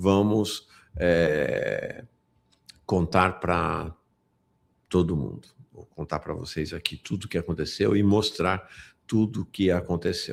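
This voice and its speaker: Speaking at a very slow pace with long, frequent pauses, a man with a very deep, low pitch shows ordinary pitch variation and big swings in loudness on a very clean recording over a silent background. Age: 60s. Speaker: political news commentator. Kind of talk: live political news commentary. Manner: animated, indignant.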